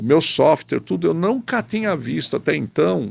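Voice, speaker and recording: A very clean recording with a silent background, featuring a man at a moderate pace. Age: 60s. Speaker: professor and rotational molding specialist. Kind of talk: podcast interview.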